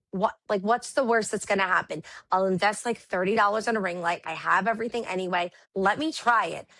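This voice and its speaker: A loud woman with a New York accent speaks at a fairly quick pace in a fairly high, bright, sharp voice with ordinary pitch variation. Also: quiet background. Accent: New York Brooklyn. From Brooklyn, New York. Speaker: live seller and teacher. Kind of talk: casual interview chat.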